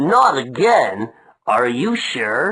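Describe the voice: A cartoonish character voice at a low-to-middle pitch.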